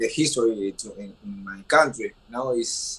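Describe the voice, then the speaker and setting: A man with an Argentine accent at a fairly slow pace. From Argentina. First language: Spanish. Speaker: professional boxer. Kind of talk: press conference. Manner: halting.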